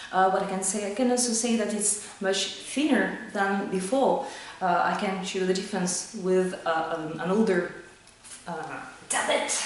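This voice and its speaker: In a French accent, a woman speaks at a moderate pace amid light background noise and audible room echo. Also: ordinary pitch variation. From France. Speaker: sales manager demoing software hardware; product reviewer. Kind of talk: product review. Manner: halting, many fillers. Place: office. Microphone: camera far.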